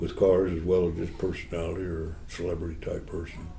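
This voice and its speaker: A man speaks at a fairly quick pace with a dark, mellow, somewhat breathy tone. Audible room echo surrounds the voice. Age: 80s+. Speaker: custom car builder. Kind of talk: interview. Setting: model car show.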